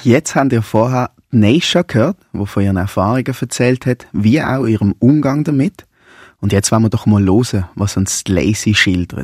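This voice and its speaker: A man with an unremarkable speaking voice talks at a moderate pace and a fairly low pitch with ordinary pitch variation. The very clean recording has a silent background and a dry, close sound with no echo. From Basel, Switzerland. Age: 30s. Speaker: primary school teacher and anti-racism activist. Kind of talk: radio interview and moderation.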